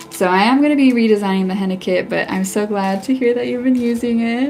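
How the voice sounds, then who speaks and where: Noticeable background noise sits behind a woman's fairly high-pitched voice. Her pitch variation is ordinary. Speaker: henna artist. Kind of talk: live stream tutorial while chatting with viewers. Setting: live stream. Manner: casual, chatty with filler words.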